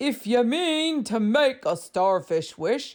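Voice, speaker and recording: A gruff, put-on character voice with very wide pitch swings, on a very clean recording with a silent background. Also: woman. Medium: read story.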